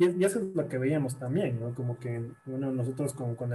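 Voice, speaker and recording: Music plays in the background while a man talks at a medium pitch. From Ecuador, Guayaquil. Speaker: psychologist. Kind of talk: interview. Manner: halting, many repeated words.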